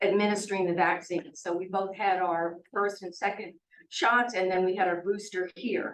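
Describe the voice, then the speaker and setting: A woman with a medium-pitched voice speaks at a moderate pace. Audible room echo surrounds her. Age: 70s. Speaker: resident speaking at public comment. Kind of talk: public comment at town meeting. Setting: city hall meeting.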